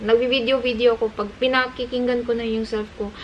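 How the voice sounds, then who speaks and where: There is noticeable background noise. A woman with a Visayan accent speaks at a high pitch and a moderate pace. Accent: Visayan-accented Tagalog. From Cebu, Philippines. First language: Cebuano (Bisaya) (speaking Tagalog). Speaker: vlogger. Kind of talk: casual chat.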